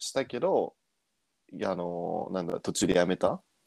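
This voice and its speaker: Recorded dry and close, this man's voice carries no echo at all. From abroad (returnee). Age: 20s. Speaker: podcast co-host. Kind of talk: casual chat.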